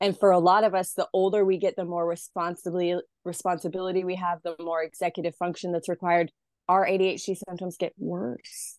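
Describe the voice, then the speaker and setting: A woman talks at a fairly quick pace with an American accent, her pitch medium. Her intonation stays monotone and flat over a quiet background. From US, rural Idaho. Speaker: mental health content creator and mother. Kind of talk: interview.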